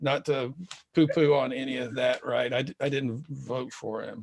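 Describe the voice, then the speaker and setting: This is an unremarkable speaking voice. The pace is moderate. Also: man. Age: 50s. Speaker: podcast host. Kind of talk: casual interview chat.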